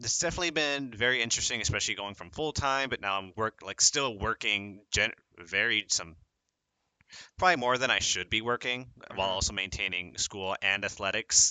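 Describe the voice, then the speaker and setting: With a normal speaking voice, a man talks at a fairly quick pace in a medium pitch with lively intonation. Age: 20s. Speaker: college student esports player. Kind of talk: podcast interview.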